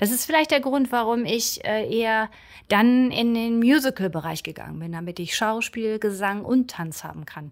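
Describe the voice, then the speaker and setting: On a very clean recording with a silent background, a woman speaks at a fairly high pitch with very wide pitch swings. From northern Germany, Schleswig-Holstein coast. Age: 50s. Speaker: local politician, former dancer. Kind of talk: interview.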